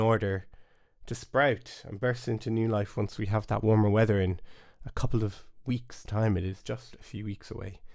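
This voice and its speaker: A man in a Cork accent, fairly low pitch, fairly even intonation, moderate pace, on a very clean recording with a silent background. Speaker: bodhrán teacher. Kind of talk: live stream lesson chat. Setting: home studio, live stream. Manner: casual, hesitant.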